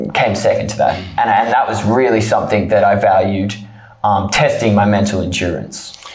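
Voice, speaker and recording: A man speaks with an Australian accent at a moderate pace. Music plays behind him. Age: 20s. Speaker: trekker. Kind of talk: interview. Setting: studio.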